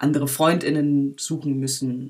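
Her pitch is very deep and low. The woman speaks in a monotone, with flat intonation. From Berlin, Germany. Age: 20s. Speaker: filmmaker. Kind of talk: interview. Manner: halting, many fillers.

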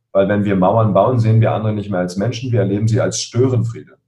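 Somewhat breathy and dark, mellow in tone, a man's voice sits at a medium pitch. He talks at a fairly quick pace with fairly even intonation. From Berlin (Spandau), Germany. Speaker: coach and emotion expert. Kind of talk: interview.

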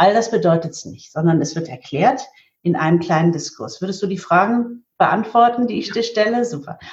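A woman talks at medium pitch in a somewhat breathy voice. Her intonation is lively, with big swings in loudness. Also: moderate pace. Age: 50s. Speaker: market researcher and event organizer for spiritual teachings. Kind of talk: interview.

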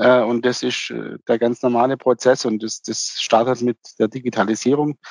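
Recorded dry and close with no echo, a man talks at a fairly slow pace with monotone, flat intonation. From Swabia, near Ulm (southern Germany). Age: 50s. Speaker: timber construction company owner. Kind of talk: interview. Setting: remote connection.

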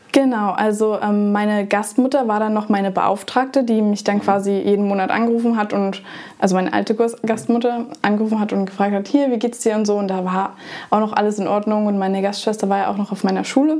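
Fairly quick speech from a woman at medium pitch, with fairly even intonation and noticeable background noise. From Germany. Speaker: former exchange student. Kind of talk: casual interview.

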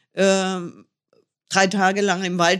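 Medium pitch from a woman, recorded very cleanly against a silent background. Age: 60s. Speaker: motorcycle traveller. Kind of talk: interview.

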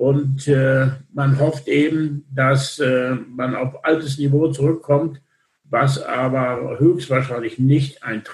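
A man speaks at a very slow pace. His somewhat breathy voice stays monotone and flat. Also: fairly high pitch for a man. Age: 60s. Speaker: logistics industry association chairman. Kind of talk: interview. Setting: remote call.

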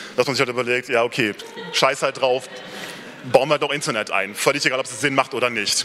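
A man at medium pitch, fairly quick and fairly even in intonation, over noticeable background noise. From Rhineland, near Cologne. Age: 30s. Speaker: software developer giving a talk. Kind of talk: conference talk. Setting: stage with audience. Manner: hesitant, many filler sounds.

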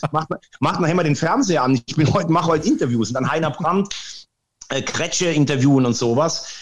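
At a very fast pace, a somewhat breathy man with a fairly high pitch speaks in an animated tone with lively intonation. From Rhineland-Palatinate, near Andernach. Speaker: sports presenter. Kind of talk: interview.

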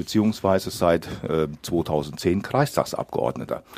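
This man's voice is very deep and low, with vocal fry. His intonation is lively. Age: 60s. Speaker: local politician, parliamentary candidate. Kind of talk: radio interview.

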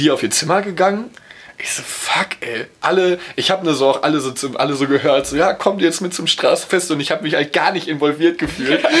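Over noticeable background noise, a man talks at a fairly quick pace in a fairly high voice. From Ruhr area, near Dortmund. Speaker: podcast co-host. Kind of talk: casual chat.

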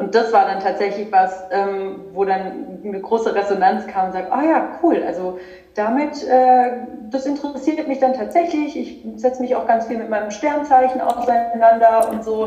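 Amid noticeable background noise and audible room echo, a woman speaks at a moderate pace with a fairly high pitch and lively intonation. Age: 30s. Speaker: spirituality coach. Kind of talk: casual chat.

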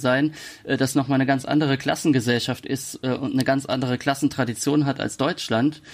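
A man talks at a moderate pace with medium pitch. His intonation is monotone and flat. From Palatinate, Germany. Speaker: author. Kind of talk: interview. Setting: video call.

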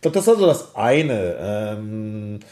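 A man talks with a dark, mellow tone. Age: 40s. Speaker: esports company founder and CEO. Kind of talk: interview.

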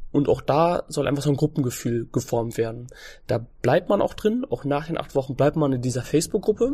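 This man has a fairly high pitch and a dark, mellow tone that is somewhat breathy. He talks at a fairly quick pace against a quiet background. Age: 20s. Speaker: fitness trainer and nutrition coach. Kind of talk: casual interview.

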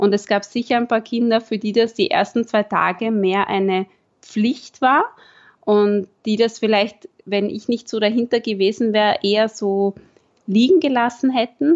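The woman's voice is fairly high, with ordinary pitch variation. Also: fairly slow pace. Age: 20s. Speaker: primary school teacher. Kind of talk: interview. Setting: video call.

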